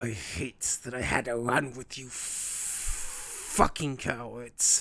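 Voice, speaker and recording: Very slowly, a man uses a put-on character voice at a medium pitch. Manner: bitter, scolding.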